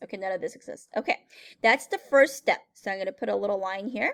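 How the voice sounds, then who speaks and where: An animated woman's voice with a dry, close sound and no echo. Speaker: math teacher. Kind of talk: tutorial. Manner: fast.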